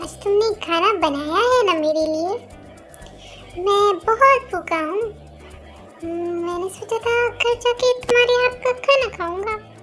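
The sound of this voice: Over clear background music, a woman performs a cartoonish character voice at a fairly slow pace.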